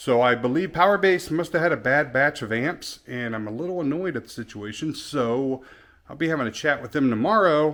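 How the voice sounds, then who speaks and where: A man with an ordinary speaking voice talks at a fairly quick pace using lively intonation. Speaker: car audio shop owner. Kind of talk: casual vlog.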